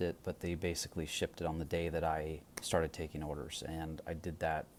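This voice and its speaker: Soft-spoken, the man talks at a moderate pace in a very deep, low voice. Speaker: pipe shop owner and video host. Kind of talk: casual product talk. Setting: at home late at night. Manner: quiet, soft-spoken; hesitant, many fillers.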